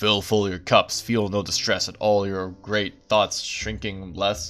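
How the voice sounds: A man's put-on character voice, rumbling and fairly low in pitch, fairly slow and monotone, with flat intonation.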